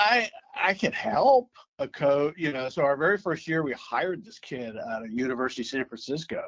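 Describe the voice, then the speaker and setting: With an American accent, a man speaks fairly quickly in a fairly high voice, his pitch swinging very widely and his loudness shifting a lot. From US Midwest, St. Louis. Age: 60s. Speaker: youth baseball commissioner. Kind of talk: casual interview.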